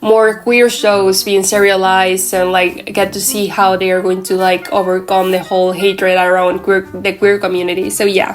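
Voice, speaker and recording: Over noticeable background noise, a woman with a Mexican accent speaks at a medium pitch and moderate pace in a monotone, flat intonation, with hardly any pauses. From Mexico. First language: Spanish. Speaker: anime commentary YouTuber. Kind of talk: casual vlog rant. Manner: halting, with fillers and self-corrections.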